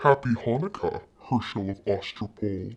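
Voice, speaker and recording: In a put-on character voice, a man speaks raspily at a medium pitch and a moderate pace. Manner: menacing.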